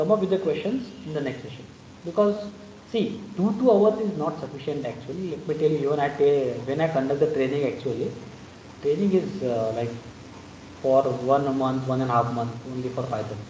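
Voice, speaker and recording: Audible room echo surrounds a man speaking at a fairly quick pace, his fairly high pitch carried by lively intonation. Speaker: python trainer. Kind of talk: online lecture.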